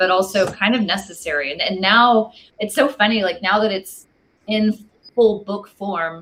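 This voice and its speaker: A woman's unremarkable speaking voice with an American accent, medium in pitch, at a moderate pace. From Texas. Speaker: wine book author. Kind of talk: casual interview.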